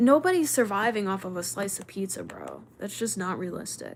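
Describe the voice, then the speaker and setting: A woman is speaking. Her pitch swings very widely. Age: 30s. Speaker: livestreamer. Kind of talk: casual chat. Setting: livestream. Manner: fast.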